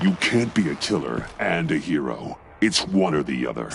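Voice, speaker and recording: Over clear background noise, a man performs a put-on character voice that is very deep and low, with very wide pitch swings. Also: moderate pace. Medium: video game. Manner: terse, serious.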